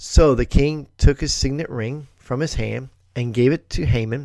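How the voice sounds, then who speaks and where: In an animated tone, a man talks at a fairly slow pace and medium pitch. His pitch varies in an ordinary way. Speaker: Bible teacher podcaster. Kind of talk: scripture reading with commentary; dramatic narration of the story. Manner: expressive, storyteller-like, animated; pauses for emphasis and reacts mid-reading; warm, conversational.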